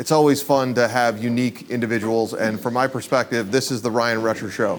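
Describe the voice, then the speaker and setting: At a fairly quick pace, a man speaks in an animated tone at a medium pitch. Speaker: event host and interviewer. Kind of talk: live interview at event. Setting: event room with audience. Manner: casual, animated.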